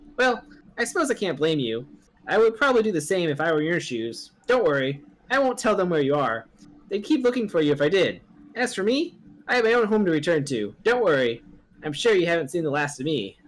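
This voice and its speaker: With a put-on character voice, a man speaks at a fairly quick pace and a high pitch, using very wide pitch swings. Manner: smug, taunting.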